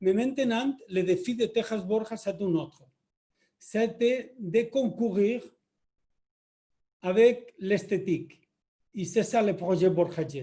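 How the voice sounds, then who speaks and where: A man with a Spanish accent speaks very slowly at a high pitch in a dark, mellow tone, with long, frequent pauses. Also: ordinary pitch variation. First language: Spanish (speaking French). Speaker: company executive. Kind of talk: webinar introduction.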